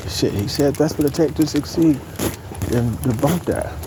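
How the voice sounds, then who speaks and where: A soft-spoken man with lively intonation amid noticeable background noise. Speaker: vlogger. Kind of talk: casual monologue.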